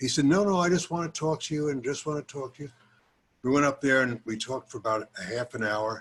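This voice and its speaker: Talking at a very fast pace, a man with an American accent has a fairly high pitch. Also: ordinary pitch variation. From US South. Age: 80s+. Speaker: retired judge and former politician. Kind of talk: reminiscing talk to a group. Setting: video call. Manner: halting.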